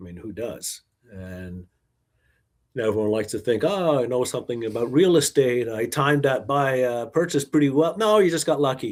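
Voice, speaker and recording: With a Canadian accent, a man with an ordinary speaking voice talks at a medium pitch and a fairly quick pace, using lively intonation and big swings in loudness, in a very clean recording with a silent background. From Quebec, Montreal. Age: 60s. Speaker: investment manager and author. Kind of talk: podcast interview.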